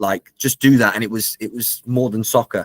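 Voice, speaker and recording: A man talks at a moderate pace and medium pitch. The sound is dry and close with no echo, on a very clean recording with a silent background. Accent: Liverpool. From England. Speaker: soccer club director of football. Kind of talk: interview. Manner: animated.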